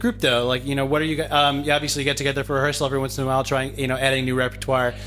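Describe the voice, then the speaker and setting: This man's pitch is fairly high, and he talks at a very fast pace with hardly any pauses. Noticeable background noise can be heard. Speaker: podcast host and a cappella singer. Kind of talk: casual podcast chat and interview. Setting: on location in Jerusalem, group interview. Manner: animated.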